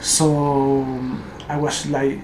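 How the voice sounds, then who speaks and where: Someone with a Spanish accent speaks over noticeable background noise. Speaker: gaming YouTuber. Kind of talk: game tutorial voiceover. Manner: halting, many fillers.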